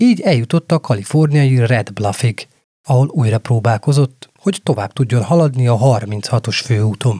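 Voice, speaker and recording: Speaking at a fairly slow pace, a man with a medium pitch and a dark, mellow, somewhat breathy tone keeps very even loudness and ordinary pitch variation, in a dry, close sound with no echo. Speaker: true crime podcast host. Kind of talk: scripted narration.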